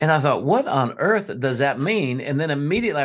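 With an American accent, a man speaks in an unremarkable speaking voice at a fairly high pitch. His intonation is lively and his pace fairly quick. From South Florida. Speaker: pastor. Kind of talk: casual interview.

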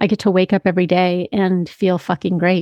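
A woman's ordinary speaking voice at medium pitch and a fairly quick pace. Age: 40s. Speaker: podcast host and health practitioner. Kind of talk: solo monologue, personal testimony.

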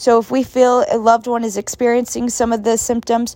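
The tone is dark and mellow. The pace is moderate. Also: woman. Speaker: student podcast host. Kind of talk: interview.

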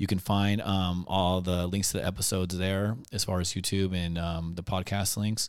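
This man has a plain, everyday voice, fairly low in pitch. He speaks at a moderate pace with fairly even intonation. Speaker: podcast host. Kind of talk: interview.

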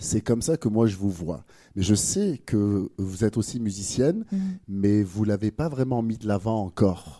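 A man speaks at a fairly slow pace in a fairly low pitch, his tone dark and mellow with ordinary pitch variation. The recording is very clean, with a silent background. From France. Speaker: podcast host. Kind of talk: casual interview. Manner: hesitant, many fillers.

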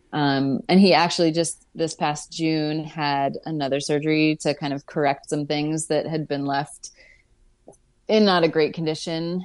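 A woman speaks with an American accent. Her pitch is very deep and low, and her pace is fairly slow. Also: fairly even intonation. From Pittsburgh, US. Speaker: climbing guide. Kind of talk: casual interview. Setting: video call.

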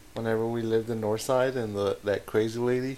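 A man has an unremarkable speaking voice of medium pitch. He talks at a moderate pace. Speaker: podcast co-host. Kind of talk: casual chat.

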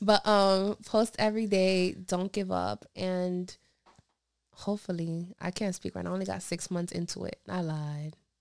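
Her pitch medium and her intonation fairly even, a woman talks at a moderate pace. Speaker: beginning lash technician. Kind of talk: casual chat. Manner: talkative.

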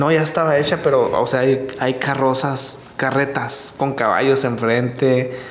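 Speaking at a fairly slow pace, a man with fairly high pitch is heard over noticeable background noise and audible room echo. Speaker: podcast co-host, husband of the other host. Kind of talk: casual chat.

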